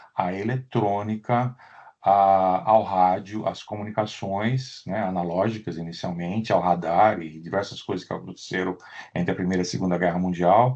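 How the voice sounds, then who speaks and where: A man with a fairly low voice and ordinary pitch variation speaks at a moderate speed in a quiet setting. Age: 60s. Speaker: professor. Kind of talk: lecture. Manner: halting, with frequent fillers and repetitions.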